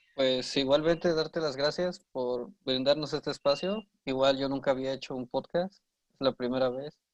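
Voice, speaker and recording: Recorded dry and close with no echo, a man with an unremarkable speaking voice and a fairly high pitch talks at a moderate pace with ordinary pitch variation. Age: 20s. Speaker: university student. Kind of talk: casual chat.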